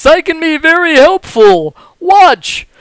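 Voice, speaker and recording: An extremely high-pitched, put-on character voice from a man. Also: fairly slow pace. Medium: actual play. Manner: fussy, courteous, easily flustered.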